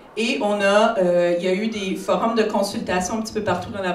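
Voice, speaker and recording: Over noticeable background noise and audible room echo, a woman talks at a moderate pace. Her pitch is medium with ordinary variation. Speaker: psychiatrist. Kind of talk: conference talk.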